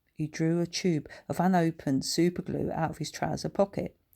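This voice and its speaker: Heard on a very clean recording with a silent background, an unremarkable speaking voice moves at a moderate pace. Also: woman. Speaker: author reading her own children's book. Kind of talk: audiobook narration of a children's story.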